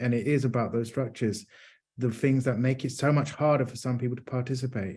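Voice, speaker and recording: A man speaks at a medium pitch and moderate pace, with ordinary pitch variation and a somewhat breathy quality against a quiet background. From London, England. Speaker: neurodiversity advocate, panelist. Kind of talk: panel discussion.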